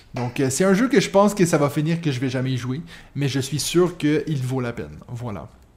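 In a Quebec accent, a man speaks with fairly high pitch, a somewhat breathy sound and lively intonation. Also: moderate pace. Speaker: podcast host. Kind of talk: casual chat.

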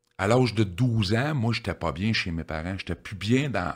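With a Quebec accent, a man talks at a moderate pace using lively intonation. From Quebec, Victoriaville. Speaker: addiction counselor. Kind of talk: life story interview.

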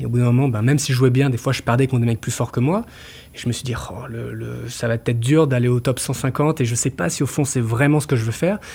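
Somewhat breathy male voice at medium pitch, with ordinary pitch variation and a fairly quick pace. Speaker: choreographer and dancer. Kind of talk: interview. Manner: halting.

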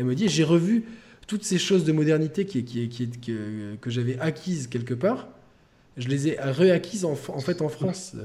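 At a moderate pace, a man speaks with lively intonation in a fairly high, somewhat breathy voice of dark, mellow tone. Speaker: podcast host. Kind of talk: casual chat. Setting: video call.

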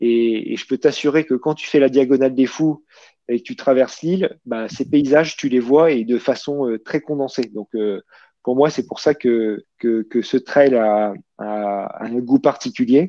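Against a quiet background, a man speaks at a fairly slow pace in a dark, mellow tone with ordinary pitch variation. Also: medium pitch for a man. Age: 40s. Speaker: amateur trail runner. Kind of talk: casual interview. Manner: hesitant, with fillers and repetitions.

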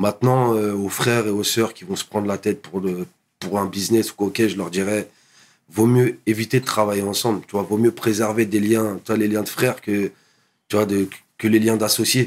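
A man talks in a fairly low pitch with monotone, flat intonation. The recording is very clean, with a silent background. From Paris suburbs, France (Montreuil, then Val-d'Oise). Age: 30s. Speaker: DJ and hip hop producer. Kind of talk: casual interview. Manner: halting, repeats words; calm, composed.

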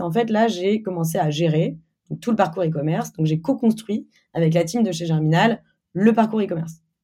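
Somewhat breathy, with a dark, mellow tone, a woman talks at a fairly quick pace with lively intonation. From Normandy, France (Caen). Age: 20s. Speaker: company CEO. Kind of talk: interview. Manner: casual, hesitant with fillers.

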